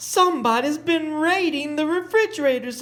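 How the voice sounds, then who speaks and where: A man puts on a character voice with an extremely high pitch. He goes at a moderate pace. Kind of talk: bedtime story. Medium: read story.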